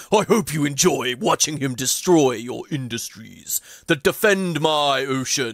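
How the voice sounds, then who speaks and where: Using a put-on character voice, a man speaks at a fairly slow pace with fairly high pitch. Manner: booming, commanding.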